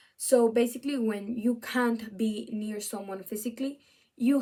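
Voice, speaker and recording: Speaking with a Spanish accent, a woman uses a fairly high pitch at a fairly slow pace. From Venezuela, then Spain from age 13. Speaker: student. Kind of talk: video essay presentation. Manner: halting, with fillers and restarts.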